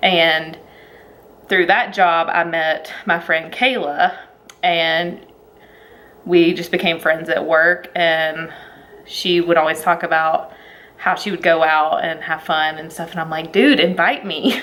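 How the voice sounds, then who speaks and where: A woman with a Southern US accent and a fairly low pitch speaks at a very slow pace, keeping a fairly even intonation and taking long, frequent pauses. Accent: Southern accent, noticeable. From Alabama, US South. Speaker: vlogger. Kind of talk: casual chat.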